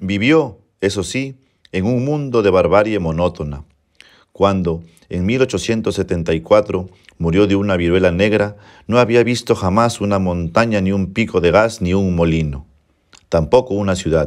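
This man has an ordinary speaking voice, fairly low in pitch, with ordinary pitch variation. He talks fairly slowly on a very clean recording with a silent background. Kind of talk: literary audiobook reading. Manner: formal, measured narration.

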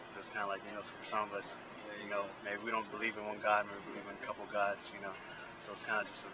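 A man with an American accent and a fairly low voice talks at a very fast pace in a flat monotone, with long, frequent pauses, dry sound with no echo, and loud background noise. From US West Coast, San Francisco Bay Area; US West Coast. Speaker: muralist. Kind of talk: casual interview. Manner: halting, many fillers. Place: street. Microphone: phone near.

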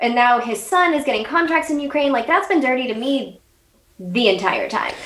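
A woman's high-pitched voice with very wide pitch swings, in an American accent, with audible room echo. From United States. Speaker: political podcaster, Congress expert; political podcaster. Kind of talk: casual interview.

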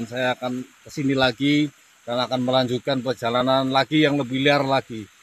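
A man talks at a fairly quick pace with a dry sound, no echo, and light background noise. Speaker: adventure vlogger. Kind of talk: casual vlog chat, closing message. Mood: earnest, reflective, motivational. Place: forest. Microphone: phone near.

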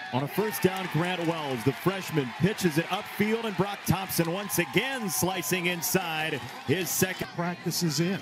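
A man speaks in a high pitch at a fairly slow pace, with hardly any pauses. His pitch variation is ordinary, and there is noticeable background noise. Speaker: football play-by-play commentator. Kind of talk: live sports commentary. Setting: stadium game broadcast, highlights package. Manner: rising, emphatic calls on touchdowns.

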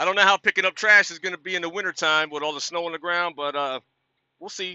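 A man at a very fast pace with ordinary pitch variation, a dry sound with no echo, and a quiet background. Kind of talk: casual vlog chat. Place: car. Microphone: phone near.

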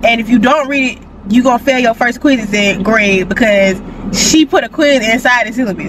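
A woman speaks at a high pitch and a moderate pace, with ordinary pitch variation. The sound is dry with no echo, over noticeable background noise. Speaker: college student vlogger. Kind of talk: casual vlog chat. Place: car.

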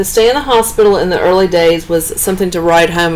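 A woman speaks at a very fast pace with ordinary pitch variation. Light background noise can be heard. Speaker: travel vlogger driving. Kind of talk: casual narration of local history. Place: car. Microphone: phone near.

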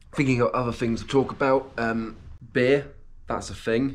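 A man speaks in a British accent. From UK. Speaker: vlogger. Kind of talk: casual vlog monologue; casual vlog chat. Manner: halting. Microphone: webcam.

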